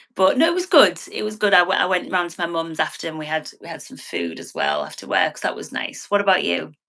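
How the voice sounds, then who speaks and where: At a very fast pace, a woman with a northern English accent talks with big swings in loudness. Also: hardly any pauses. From northern England. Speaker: financial adviser. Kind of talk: interview. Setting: livestream.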